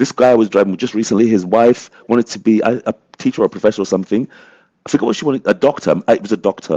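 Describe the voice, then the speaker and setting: A man with a British accent speaks very fast at a medium pitch with ordinary pitch variation. His tone is dark and mellow, and the sound is dry and close with no echo. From England. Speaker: community advocate, panelist. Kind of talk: panel discussion.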